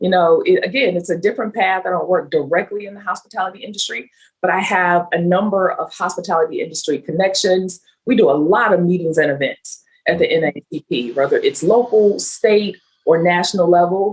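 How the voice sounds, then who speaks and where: With a slight Southern US accent, the speaker goes at a fairly quick pace using ordinary pitch variation. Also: woman, medium pitch for a woman. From US South, Meridian, Mississippi. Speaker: nonprofit chief of staff. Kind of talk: interview.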